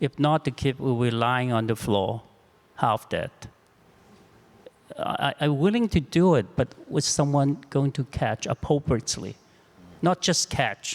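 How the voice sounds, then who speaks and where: A man with a non-native accent and fairly high pitch speaks at a fairly slow pace, with long, frequent pauses and ordinary pitch variation. His loudness stays very even, and the sound is dry and close with no echo. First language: not English. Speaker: clinician. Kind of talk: panel discussion. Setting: live broadcast panel. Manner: halting.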